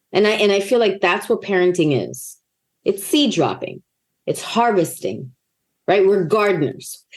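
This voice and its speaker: A woman with vocal fry talks at a moderate pace, her tone animated and her intonation lively. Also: medium pitch for a woman. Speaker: actor and author. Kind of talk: interview conversation.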